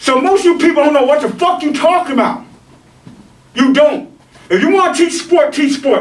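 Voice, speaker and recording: A man speaks at an extremely high pitch and a moderate pace, with ordinary pitch variation, very even loudness, and long, frequent pauses. Noticeable background noise and audible room echo surround him. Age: 50s. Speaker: martial arts instructor. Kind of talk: rant. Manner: animated.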